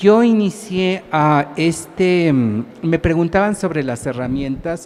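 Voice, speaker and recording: The speaker talks at a very slow pace. Noticeable background noise runs underneath. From Mexico, Mexico City. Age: 60s. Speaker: writer and professor researcher. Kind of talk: public talk. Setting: small stage at a book fair with audience. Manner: halting, many fillers.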